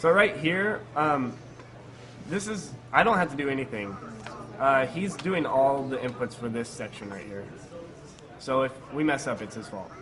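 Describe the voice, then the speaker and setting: A man with a fairly high pitch talks at a moderate pace, with very wide pitch swings, big swings in loudness and long, frequent pauses. Noticeable background noise and audible room echo are present. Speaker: speedrunner. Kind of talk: live commentary. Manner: halting, stutters over words.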